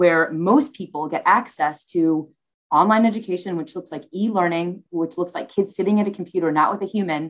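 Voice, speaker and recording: An unremarkable speaking voice from a woman with an American accent, medium pitch, ordinary pitch variation and a fairly quick pace. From US. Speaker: education company executive. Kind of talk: panel discussion.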